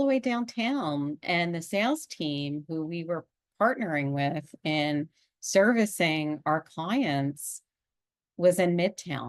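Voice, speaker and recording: Against a quiet background, a woman with a Pennsylvania accent speaks very slowly at a fairly low pitch with lively intonation. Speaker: executive coach and podcast host. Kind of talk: podcast monologue. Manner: conversational.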